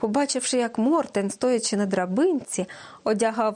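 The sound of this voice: An unforced reading voice is heard here.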